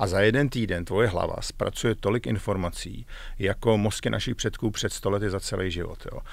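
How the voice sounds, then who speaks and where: The speech comes at a fairly quick pace with a dry sound and no echo. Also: man. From Czechia. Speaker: executive coach, former tech manager; executive coach. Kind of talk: interview. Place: studio. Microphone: studio mic.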